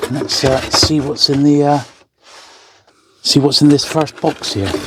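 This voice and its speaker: A man's fairly high voice with an English accent, fairly even intonation and a fairly slow pace. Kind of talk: casual hobby build talk to camera. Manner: soft-spoken, relaxed.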